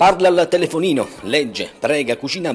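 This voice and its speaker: A man at a fairly quick pace, over noticeable background noise. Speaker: TV reporter. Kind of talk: TV news report narration.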